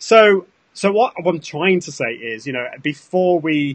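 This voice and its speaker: A man speaks with a British accent and lively intonation. The sound is dry and close, with no echo. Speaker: social media consultant. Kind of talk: casual chat.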